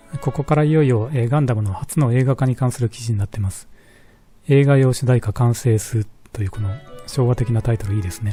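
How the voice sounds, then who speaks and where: Talking at a very fast pace, a man keeps ordinary pitch variation as music runs in the background. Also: medium pitch for a man. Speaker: shop owner. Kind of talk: casual talk about collectibles.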